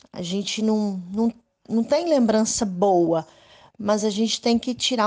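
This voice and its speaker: This woman's voice sits fairly high in pitch. She speaks at a very slow pace. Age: 50s. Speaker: women's rights activist, abuse survivor. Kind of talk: interview testimony.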